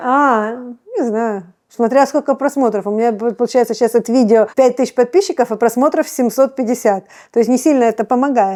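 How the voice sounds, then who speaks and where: In a very clean recording with a silent background, a woman with a high pitch and a dark, mellow tone speaks at a fairly quick pace with ordinary pitch variation. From Odesa, Ukraine. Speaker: cooking blogger. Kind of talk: interview answer.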